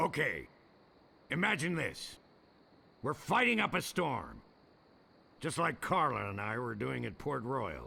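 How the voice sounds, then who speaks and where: A man's gruff, put-on character voice at medium pitch, fairly slow in pace, with long, frequent pauses. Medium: video game. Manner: gruff, brusque, insulting.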